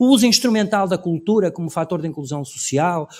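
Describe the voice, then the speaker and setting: The recording is very clean with a silent background. A man with a high pitch talks at a fairly quick pace. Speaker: cultural policy expert on a panel. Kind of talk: conference panel talk. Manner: fast.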